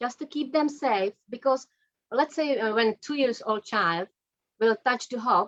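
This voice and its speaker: A woman with a non-native accent speaks at a high pitch and a fairly slow pace. Her intonation is lively, and the sound is dry and close with no echo. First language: not English. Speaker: energy psychology practitioner. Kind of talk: interview.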